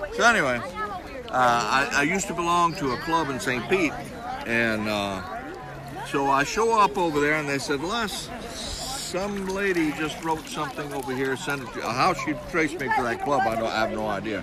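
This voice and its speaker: Noticeable background noise and audible room echo surround a man speaking at a moderate pace in a fairly high pitch with very wide pitch swings. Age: 70s. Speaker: retired beachcomber. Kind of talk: interview storytelling. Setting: outdoors at beach, in water. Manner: animated.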